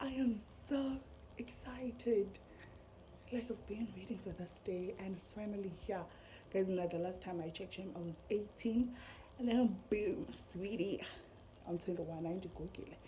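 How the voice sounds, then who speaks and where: Audible room echo surrounds a woman speaking at a medium pitch and moderate pace, with ordinary pitch variation and long, frequent pauses. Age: 20s. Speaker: vlogger. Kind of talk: casual vlog talk. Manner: animated.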